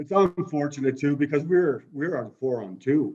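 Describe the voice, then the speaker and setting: Speaking with a Maritime Canadian accent, a man goes at a fairly slow pace with ordinary pitch variation. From Kitchener, Ontario. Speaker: former junior hockey player. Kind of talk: interview answer.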